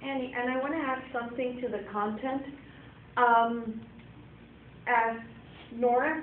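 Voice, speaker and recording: Pausing long and often, a woman speaks at a fairly slow pace in a high, monotone voice with flat intonation and audible room echo. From Venezuela. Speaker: bilingual teacher. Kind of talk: workshop discussion.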